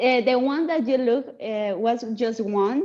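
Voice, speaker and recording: A woman with a Spanish accent speaks in a high voice with ordinary pitch variation. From Latin America. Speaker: student. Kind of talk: class discussion.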